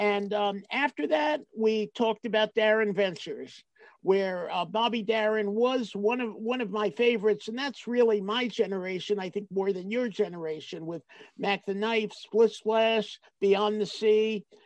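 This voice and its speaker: A man talks at a moderate pace and a high pitch. His intonation is fairly even, and the sound is dry and close with no echo. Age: 70s. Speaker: theater fan and investor. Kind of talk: casual interview.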